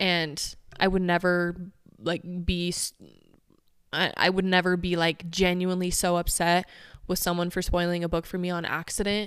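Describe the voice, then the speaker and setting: Against a very clean recording with a silent background, a woman with a fairly low pitch talks in a monotone, flat way with long, frequent pauses. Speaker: podcast host. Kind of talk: casual chat. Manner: fast talker.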